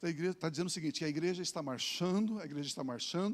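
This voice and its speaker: Ordinary pitch variation runs through the speech. A man talks at a high pitch. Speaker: pastor. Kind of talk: sermon.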